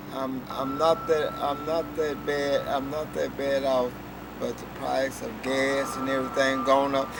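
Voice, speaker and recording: Amid audible room echo and noticeable background noise, a man with an American accent speaks fairly slowly in a fairly high voice with monotone, flat intonation. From Texas. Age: 60s. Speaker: recycler doing cleanup work. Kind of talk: interview testimony. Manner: halting, many repetitions.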